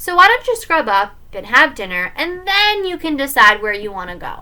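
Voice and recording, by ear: Using a put-on character voice, a woman speaks at a moderate pace with a high pitch, a bright, sharp tone and big pitch swings.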